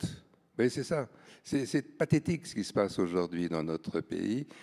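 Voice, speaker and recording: In a dry, close recording with no echo, a man with a very deep, low pitch and a dark, mellow tone speaks fairly slowly, his pitch swinging very widely. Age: 70s. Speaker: art publisher. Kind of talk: panel discussion. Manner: halting, with many repetitions.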